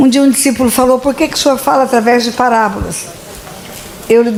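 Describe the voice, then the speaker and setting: A woman is speaking with noticeable background noise. Audible room echo is present as well. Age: 70s. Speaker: pastor. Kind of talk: sermon. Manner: animated.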